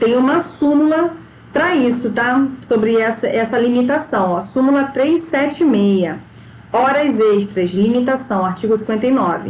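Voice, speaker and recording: A woman's high-pitched voice with lively intonation and very even loudness comes through audible room echo and noticeable background noise. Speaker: labor law teacher. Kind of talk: lecture.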